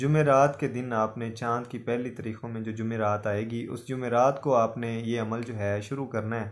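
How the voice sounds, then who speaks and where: The background stays quiet. A man delivers his words fairly slowly. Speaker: spiritual practice instructor. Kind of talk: tutorial. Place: home room. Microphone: phone near.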